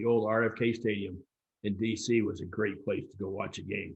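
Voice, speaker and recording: A man speaks in a fairly low, somewhat breathy voice. He has an American accent. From US Midwest, St. Louis. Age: 60s. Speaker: soccer official, election candidate. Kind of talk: forum Q&A interview. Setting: live stream.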